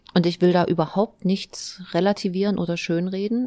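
A woman speaks in a monotone with flat intonation, captured as a dry, close sound with no echo on a very clean recording with a silent background. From Thuringia, eastern Germany. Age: 40s. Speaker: mayor and politician. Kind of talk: interview.

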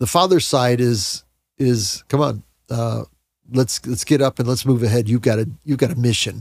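In a very clean recording with a silent background, a man at medium pitch with a normal speaking voice talks at a moderate pace with ordinary pitch variation. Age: 60s. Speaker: Bible podcast co-host. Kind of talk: casual Bible discussion.

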